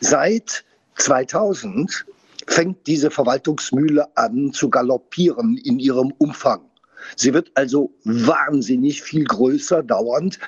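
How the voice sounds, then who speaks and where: Speaking at a very slow pace, a man keeps his loudness very even. His pitch is fairly high and his intonation lively. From Saar region, Germany. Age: 60s. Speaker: winemaker. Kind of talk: casual interview. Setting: on location at winery.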